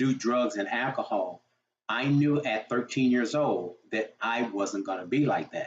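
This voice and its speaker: The speaker is a man with a medium pitch. He moves at a fairly slow pace with ordinary pitch variation. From Texas, Houston. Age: 60s. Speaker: motivational speaker and fitness coach. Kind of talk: personal testimony. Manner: halting, with fillers and repetitions.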